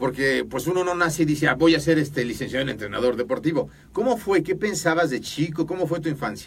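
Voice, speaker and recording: A man talks at a very fast pace with hardly any pauses. His fairly high voice shows vocal fry and lively intonation. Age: 50s. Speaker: podcast host. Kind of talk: interview.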